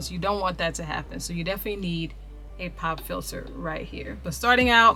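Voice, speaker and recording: Music plays in the background. Over it, a woman speaks at a fairly quick pace. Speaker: voice over artist. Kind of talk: casual talk to camera. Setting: home studio.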